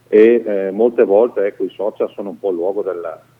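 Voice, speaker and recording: A man speaks at a fairly quick pace. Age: 50s. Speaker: mayor. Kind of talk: radio interview. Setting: phone call.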